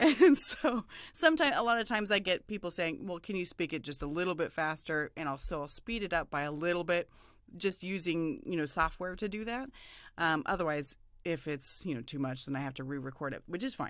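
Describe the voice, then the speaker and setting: A woman speaks fairly quickly at a fairly low pitch. The recording is very clean, with a silent background. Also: lively intonation. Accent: American. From US Southwest. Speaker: voiceover artist. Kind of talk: interview.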